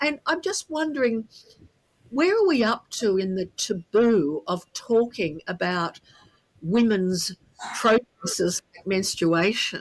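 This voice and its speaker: Dry and close with no echo, a woman with an Australian accent speaks at a very slow pace, her fairly high pitch making very wide swings and her loudness shifting in big swings. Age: 70s. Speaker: podcast co-host. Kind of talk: casual interview chat.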